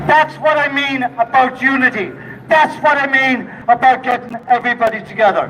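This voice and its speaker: In a Donegal accent, a man speaks in a raised, projected voice at an extremely high pitch. Noticeable background noise runs behind him. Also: ordinary pitch variation, moderate pace. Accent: Donegal Irish. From Ireland, Donegal. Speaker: protest speaker. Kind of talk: rally speech. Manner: impassioned.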